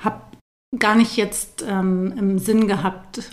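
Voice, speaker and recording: Her pitch is medium for a woman, with fairly even intonation and vocal fry throughout. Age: 40s. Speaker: yoga teacher and postpartum doula. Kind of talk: interview.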